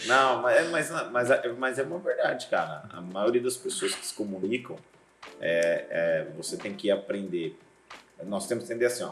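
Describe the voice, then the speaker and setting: Big loudness swings from a man speaking at a moderate speed amid noticeable background noise. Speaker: pastor and seminary teacher. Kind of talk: casual interview chat. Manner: hard to hear clearly.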